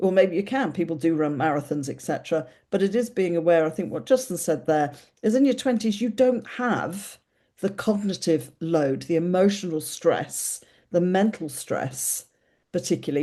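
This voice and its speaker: A woman with an English accent speaks in a dark, mellow tone at a fairly low pitch. Her intonation is lively, her pace moderate, and the background quiet. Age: 60s. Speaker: podcast host. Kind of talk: casual chat.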